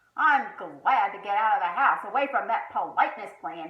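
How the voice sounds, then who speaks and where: A woman puts on a gruff, rumbling character voice at a fairly high pitch. She speaks at a moderate pace. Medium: read story. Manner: gruff, grumbling.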